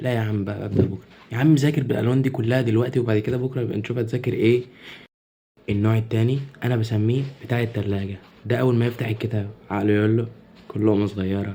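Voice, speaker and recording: At a very fast pace, a man with an Egyptian accent speaks quietly at a medium pitch, his dark, mellow tone carrying fairly even intonation. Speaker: content creator. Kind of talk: comedy sketch monologue. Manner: quiet, lowered voice.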